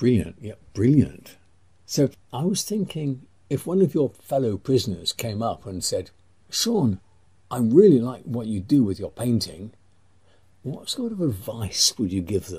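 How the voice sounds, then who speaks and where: In a somewhat breathy voice with a dark, mellow tone, a man swings very widely in pitch. He leaves long, frequent pauses. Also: medium pitch for a man, fairly slow pace. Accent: English. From England. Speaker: interviewer. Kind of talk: interview.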